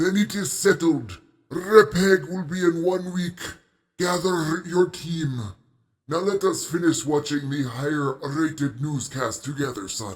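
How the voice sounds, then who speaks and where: A man puts on a character voice at a fairly high pitch. He goes at a fairly slow pace with ordinary pitch variation. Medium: audio drama. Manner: formal, measured.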